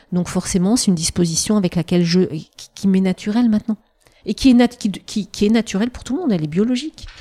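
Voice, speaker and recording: A woman's somewhat breathy, dark, mellow voice at medium pitch and a very fast pace, with a dry, close sound with no echo. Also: ordinary pitch variation. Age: 50s. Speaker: perinatal psychologist. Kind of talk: interview conversation. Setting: in person, Annecy.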